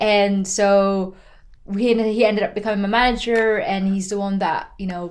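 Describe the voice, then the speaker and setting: Speaking at a moderate pace with fairly even intonation, a woman is heard with audible room echo. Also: medium pitch for a woman. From Philippines. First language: Tagalog. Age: 20s. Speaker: racing driver. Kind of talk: podcast interview. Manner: casual, with many fillers.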